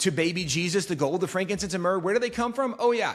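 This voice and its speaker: In an animated tone, a man speaks with ordinary pitch variation. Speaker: talk show host. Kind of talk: casual interview conversation. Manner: fast.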